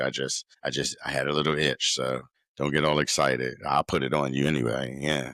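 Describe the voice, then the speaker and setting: A loud man with a very deep, low pitch, vocal fry and a bright, sharp tone talks at a moderate pace in a monotone, flat intonation, the sound dry and close with no echo. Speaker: podcast host. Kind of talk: casual monologue.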